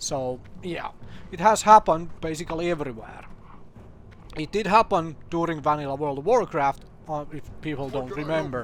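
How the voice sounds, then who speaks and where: A man talks in a fairly high pitch with ordinary pitch variation and big swings in loudness. Noticeable background noise sits behind him. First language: not English. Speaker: gaming youtuber. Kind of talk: casual commentary video. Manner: hesitant, many fillers.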